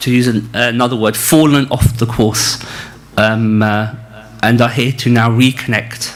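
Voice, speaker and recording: A man speaks with a northern English accent, his voice carrying audible room echo over noticeable background noise. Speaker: spiritual teacher leading a retreat. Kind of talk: religious lecture. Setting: retreat hall with live audience, also streamed on video call. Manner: halting, many fillers.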